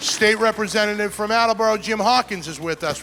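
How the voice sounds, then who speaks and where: Over music in the background, a man with a Boston accent speaks in a raised, projected voice at a fairly quick pace. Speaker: state senator hosting event. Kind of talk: event hosting speech.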